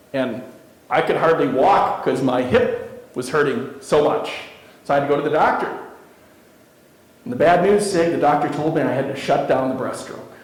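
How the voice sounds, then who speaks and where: Amid noticeable background noise and audible room echo, a man with a fairly high pitch talks at a moderate pace with lively intonation and long, frequent pauses. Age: 50s. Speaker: keynote speaker. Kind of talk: motivational speech.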